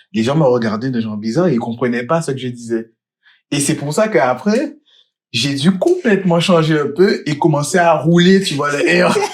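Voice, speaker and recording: In an animated tone, a man with a fairly high pitch talks at a moderate pace, with lively intonation and big swings in loudness. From Guadeloupe. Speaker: podcast co-host. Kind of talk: casual chat.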